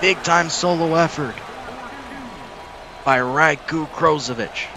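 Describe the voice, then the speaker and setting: Very slowly and at a fairly high pitch, a man speaks with ordinary pitch variation over noticeable background noise. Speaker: sim league play-by-play commentator. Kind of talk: live commentary. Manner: kept quiet, less animated than usual.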